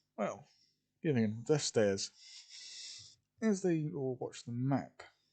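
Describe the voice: Plain reading aloud with lively intonation against a quiet background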